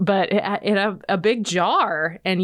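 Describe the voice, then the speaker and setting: A woman talks with an American accent in a plain, everyday voice. Her pace is fairly slow. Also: very clean recording, silent background. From Nebraska. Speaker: extension podcast host. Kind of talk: casual interview.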